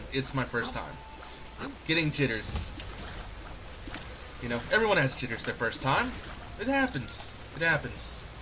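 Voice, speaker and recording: A man speaks at a moderate pace with long, frequent pauses. Noticeable background noise is present. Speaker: gaming youtuber. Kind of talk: let's play commentary. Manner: stumbling over words; slightly slurred. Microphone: poor audio balancing.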